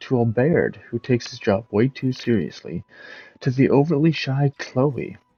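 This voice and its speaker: A medium-pitched man's voice with ordinary pitch variation and music in the background. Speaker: game reviewer. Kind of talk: video game review narration.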